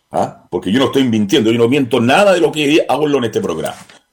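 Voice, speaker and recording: Lively intonation runs through speech delivered very fast. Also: man. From Chile. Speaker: radio host and journalist. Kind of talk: call-in radio talk show. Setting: radio studio.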